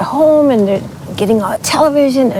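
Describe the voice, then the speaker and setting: Amid noticeable background noise, a woman's intonation rises and falls in a lively way. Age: 70s. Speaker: interview guest. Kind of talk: casual interview chat.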